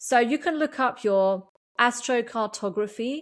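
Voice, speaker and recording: A woman with an English accent speaks at a fairly high pitch, recorded very cleanly against a silent background. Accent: sounds very English. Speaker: podcast host and energy coach. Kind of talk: solo podcast monologue. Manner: halting, many fillers.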